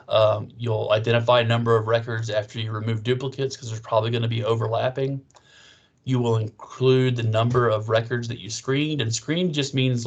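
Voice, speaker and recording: A somewhat breathy man at a fairly quick pace, flat and monotone in intonation. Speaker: librarian teaching research skills. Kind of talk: training session. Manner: fast.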